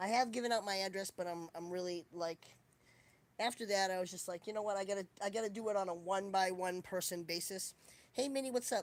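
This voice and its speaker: In a Boston accent, a woman talks very fast with fairly even intonation. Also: medium pitch for a woman. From Boston, US. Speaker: livestreamer. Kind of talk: casual chat.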